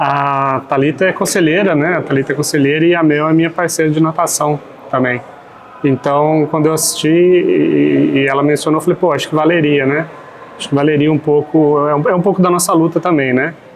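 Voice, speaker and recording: A man with a fairly high pitch speaks at a fairly quick pace. His intonation is fairly even, with noticeable background noise. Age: 40s. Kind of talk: podcast interview. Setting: café.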